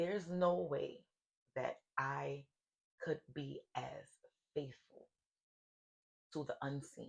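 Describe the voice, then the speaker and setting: A woman speaks at a very slow pace. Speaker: spiritual life coach and podcast host. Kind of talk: solo podcast monologue. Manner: occasional stutter.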